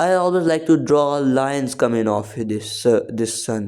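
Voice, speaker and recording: A man's voice, medium in pitch. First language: not English. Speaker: art tutorial creator. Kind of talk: tutorial.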